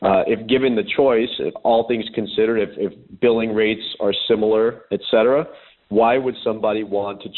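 In a normal speaking voice, a man talks at a moderate pace with fairly low pitch and fairly even intonation. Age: 30s. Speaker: sports lawyer and author. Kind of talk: interview.

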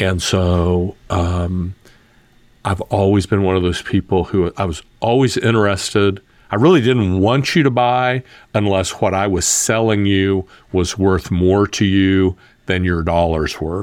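A man with a very deep, low pitch and fairly even intonation, on a very clean recording with a silent background. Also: fairly slow pace. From US South. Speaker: entrepreneur and podcast host. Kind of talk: interview conversation.

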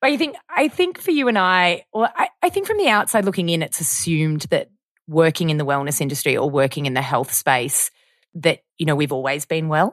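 Speaking at a fairly quick pace with an Australian accent, a woman uses a fairly low pitch and lively intonation in a dry, close sound with no echo. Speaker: podcast host. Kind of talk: casual chat.

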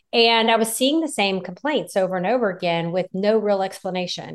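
A woman talks at a moderate pace with a medium pitch over a quiet background. It is a normal speaking voice. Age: 50s. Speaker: physician, gynecologist. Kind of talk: interview. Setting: video call.

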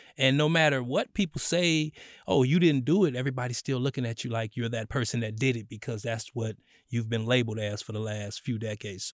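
A man talks at a fairly quick pace with a plain, everyday voice at medium pitch. His pitch varies in an ordinary way, and the sound is dry and close with no echo. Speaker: podcast co-host. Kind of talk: interview chat. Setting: studio.

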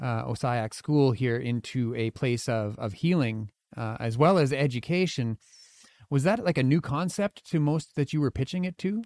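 In a dry, close recording with no echo, a man with an unremarkable speaking voice talks at a fairly slow pace, at medium pitch with ordinary pitch variation. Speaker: podcast host. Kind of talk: interview conversation. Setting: studio.

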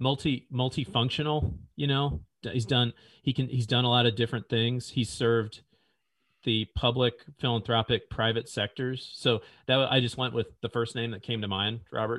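A man at a medium pitch with an American accent, a moderate pace and ordinary pitch variation. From US Midwest, central Illinois. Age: 40s. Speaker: business leader. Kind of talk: interview conversation.

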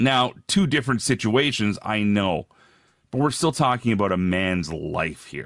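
Over a quiet background, a man with a Canadian accent and an ordinary speaking voice talks at a fairly slow pace, his fairly low pitch carrying lively intonation. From Alberta, Canada. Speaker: radio host and wrestling commentator. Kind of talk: casual interview. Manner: casual, chatty.

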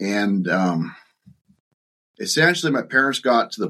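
A man talks at a moderate pace with a fairly low pitch and a bright, sharp tone. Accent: Ontario. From Ontario, Canada (Bobcaygeon). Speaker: farm succession author and consultant. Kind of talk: casual interview. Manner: halting, many fillers.

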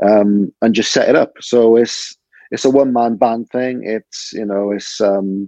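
In a Cardiff accent, a man speaks with a dark, mellow tone. His intonation is monotone and flat, and the sound is dry and close with no echo. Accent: Cardiff Welsh. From Wales, Cardiff (Butetown). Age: 30s. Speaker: stand-up comedian. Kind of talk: casual chat.

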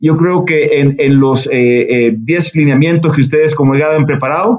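At a moderate pace and very even loudness, a man talks in an unremarkable speaking voice, fairly high in pitch, with ordinary pitch variation. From El Salvador. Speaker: business executive. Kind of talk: interview.

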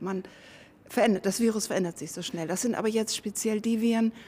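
A woman's medium-pitched, somewhat breathy voice, very fast, with a dark, mellow tone and fairly even intonation. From northern Germany. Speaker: virologist. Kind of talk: interview.

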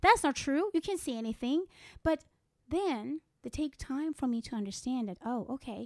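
In a Persian accent, a woman with a high voice talks at a moderate pace with very wide pitch swings, in a very clean recording with a silent background and a dry, close sound with no echo. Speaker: psychic medium. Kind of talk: casual interview about her work.

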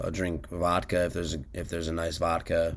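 At a moderate pace, a man with an American accent speaks in a very deep, low pitch laced with vocal fry. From Washington, D.C. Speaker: musician. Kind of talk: casual chat.

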